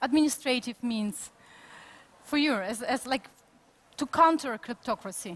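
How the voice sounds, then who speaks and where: Lively intonation marks this speaker's Ukrainian accent at a moderate pace. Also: woman. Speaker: conference moderator. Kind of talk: panel interview. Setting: conference studio.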